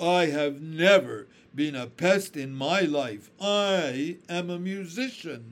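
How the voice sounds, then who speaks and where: A man does a put-on character voice at a fairly high pitch and a very slow pace, on a very clean recording with a silent background. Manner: slow, scornful.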